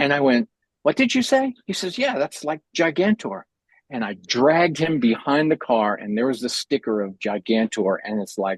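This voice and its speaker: A man with an American accent, fairly high pitch and very wide pitch swings, at a moderate pace, in a dry, close sound with no echo. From New York City, Manhattan Upper West Side. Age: 60s. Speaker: artist and meeting host. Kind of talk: casual chat. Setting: video call.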